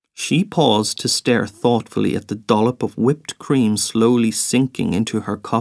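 The intonation stays fairly even while the text is read aloud in a natural voice.

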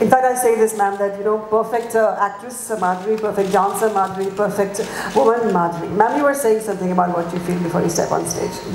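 Speaking very fast in a medium-pitched voice, a woman keeps her intonation fairly even amid audible room echo and light background noise. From India. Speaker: event emcee. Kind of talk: live press conference hosting. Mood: warm, flattering. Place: hall. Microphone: handheld.

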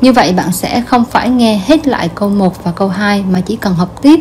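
The speaker is a woman whose pitch varies in an ordinary way. Noticeable background noise runs behind her. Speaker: language teacher. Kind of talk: instructional lesson narration.

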